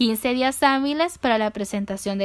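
The woman's high-pitched voice comes through on a very clean recording with a silent background. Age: 20s. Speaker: law student. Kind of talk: lecture. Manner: formal.

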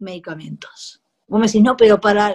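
A woman is speaking. Her pitch sits fairly high. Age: 40s. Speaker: cannabis activist and home cook. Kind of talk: casual interview.

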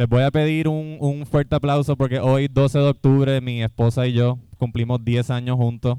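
A man of medium pitch speaks in a dark, mellow tone with monotone, flat intonation. He keeps a moderate pace with hardly any pauses, in a dry, close sound with no echo. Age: 30s. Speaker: podcast host. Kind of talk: live comedy podcast before audience. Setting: brewery stage with live audience.

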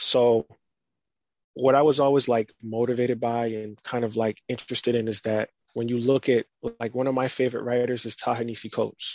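At a fairly quick pace, a man of medium pitch talks with monotone, flat intonation. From United States, partly raised in Barbados. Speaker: writer and podcaster. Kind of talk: interview conversation. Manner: casual, many fillers like 'like'.

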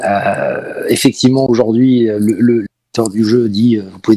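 A man at a medium pitch with fairly even intonation, an unremarkable speaking voice. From Paris, France. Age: 40s. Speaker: esports team president. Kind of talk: interview.

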